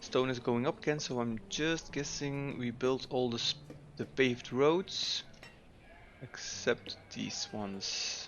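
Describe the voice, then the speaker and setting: A man with a Dutch accent, medium in pitch, with ordinary pitch variation and a very slow pace. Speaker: gaming YouTuber. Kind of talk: gameplay commentary. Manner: casual, with frequent filler 'uh'.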